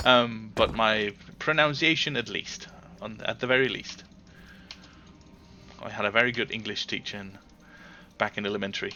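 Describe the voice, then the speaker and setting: A man with a Danish accent, medium in pitch, with ordinary pitch variation, big swings in loudness, a moderate pace, and long, frequent pauses. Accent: Danish accent, speaks it proudly. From Denmark. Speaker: gaming livestreamer. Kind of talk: casual chat. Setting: live stream. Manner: halting.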